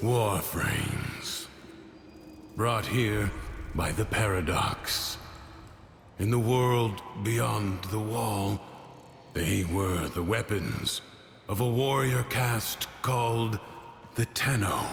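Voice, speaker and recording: A man uses a put-on character voice, fairly low in pitch and fairly even in intonation, at a very slow pace with long, frequent pauses. His loudness stays very even over clear background noise. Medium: fan dub. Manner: measured, calm.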